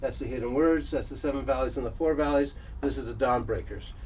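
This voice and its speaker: A man's voice is heard with audible room echo. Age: 70s. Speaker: workshop presenter. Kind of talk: lecture. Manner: halting.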